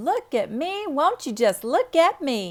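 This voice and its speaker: This is a put-on character voice pitched high. Its pitch swings very widely. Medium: read story. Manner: bright, pretty.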